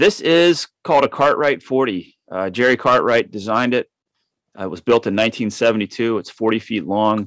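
On a very clean recording with a silent background and a dry, close sound with no echo, a man has an ordinary speaking voice, a medium pitch, ordinary pitch variation and a fairly slow pace. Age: 50s. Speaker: author and solo sailor. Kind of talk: interview conversation.

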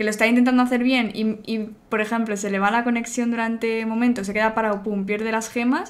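Flat and monotone, a woman's fairly high voice moves at a fairly quick pace. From Spain, Barcelona; Catalonia, Spain. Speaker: video game community manager; interviewee. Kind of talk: interview. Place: home room.

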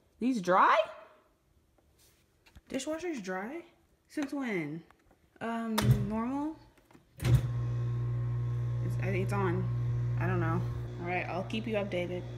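Over loud background noise, a woman speaks in an American accent. She goes at a very slow pace with long, frequent pauses. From Dallas, Texas. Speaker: college student vlogger. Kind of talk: casual vlog talk to camera. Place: kitchen. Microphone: phone near.

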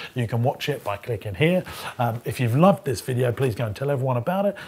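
A man speaks at a very fast pace in a somewhat breathy voice with lively intonation. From UK. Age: 30s. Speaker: entrepreneur and property investor; business coach. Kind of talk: educational vlog monologue. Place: studio. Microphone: lapel.

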